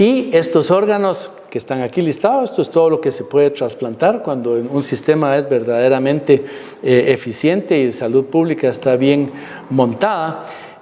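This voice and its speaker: Amid noticeable background noise, a man speaks at a moderate pace in a fairly high voice with lively intonation. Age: 60s. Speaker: physician. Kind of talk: lecture.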